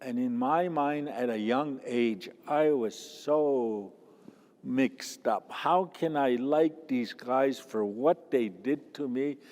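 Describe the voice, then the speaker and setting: Pitch variation is ordinary as a man talks. He goes at a very slow pace. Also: medium pitch for a man. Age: old. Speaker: residential school survivor and elder. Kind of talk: testimony. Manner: halting.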